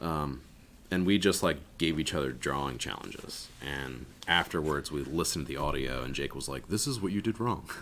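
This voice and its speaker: This man has a very deep, low pitch with vocal fry. He speaks at a moderate pace with ordinary pitch variation. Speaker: podcast host and tattoo artist. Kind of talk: casual chat. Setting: tattoo shop studio. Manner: loud.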